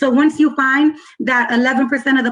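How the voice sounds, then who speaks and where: A woman speaks with a high pitch and fairly even intonation. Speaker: policy analyst presenter. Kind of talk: presentation at online community meeting. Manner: fast.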